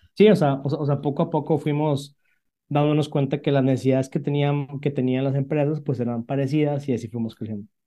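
Against a quiet background, a dark, mellow tone comes through with fairly even intonation. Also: man, fairly high pitch for a man, fairly quick pace. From northern Mexico, Monterrey. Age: 30s. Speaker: startup CEO. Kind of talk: interview. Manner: halting, many fillers.

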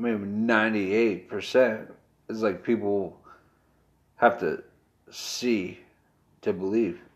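This is a man with an American accent. His pitch sits fairly low. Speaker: podcast co-host. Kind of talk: casual chat.

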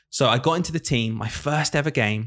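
In a very clean recording with a silent background, the talking goes at a fairly quick pace. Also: man. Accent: northern English. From northern England. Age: 20s. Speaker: primary school teacher and podcast host. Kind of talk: casual chat.

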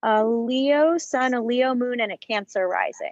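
The speech moves at a fairly slow pace in a dry, close sound with no echo. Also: woman. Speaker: Hollywood historian, YouTuber, podcast host.

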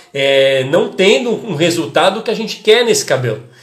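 The speaker has an animated tone and very wide pitch swings at a moderate pace. Noticeable background noise runs underneath. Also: man. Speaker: hairdressing educator and podcast host. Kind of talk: casual live-stream talk to followers.

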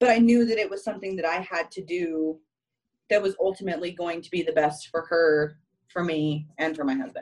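A woman has an ordinary speaking voice. Her pitch is fairly low, with ordinary variation. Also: fairly quick pace, big swings in loudness. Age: 20s. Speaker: guest mom. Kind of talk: casual chat.

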